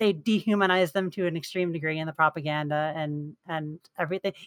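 A woman speaks in an ordinary speaking voice at a moderate pace. Her pitch variation is ordinary, and the sound is dry and close with no echo. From New York. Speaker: game player council member. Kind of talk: casual chat.

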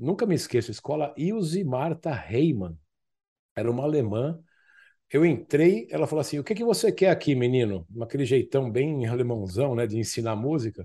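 The voice has a dark, mellow tone and very wide pitch swings against a quiet background. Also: man, medium pitch for a man, moderate pace. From Brazil, São Paulo (Zona Norte, Tucuruvi). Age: 50s. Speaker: former orthopedic surgeon turned options trader. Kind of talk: interview conversation.

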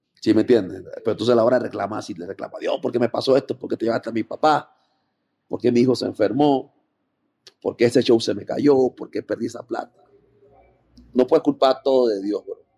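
Here a man speaks at a fairly quick pace, with long, frequent pauses. His loudness swings widely, and the sound is dry and close with no echo. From Panama. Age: 30s. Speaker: rapper. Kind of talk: casual interview.

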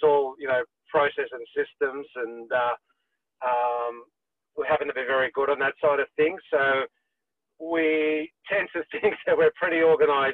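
With an Australian accent and a fairly high pitch, a man speaks at a moderate pace with fairly even intonation and long, frequent pauses. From Sydney, Australia. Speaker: property management business owner. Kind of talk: casual interview.

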